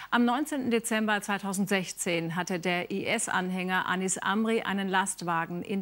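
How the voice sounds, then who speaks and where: A woman speaks at a moderate pace in a medium pitch. Her pitch rises and falls in an ordinary way. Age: 50s. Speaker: television news anchor. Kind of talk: TV news anchor reading. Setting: television studio. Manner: formal, measured. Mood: calm, formal, composed. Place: studio.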